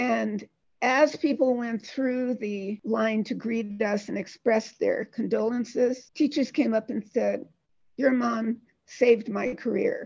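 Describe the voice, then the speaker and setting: Spoken at a very slow pace with an American accent, the voice keeps a fairly even intonation. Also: woman, fairly high pitch for a woman. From Detroit, Michigan. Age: 70s. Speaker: healthcare company founder and harpist. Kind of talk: casual interview conversation.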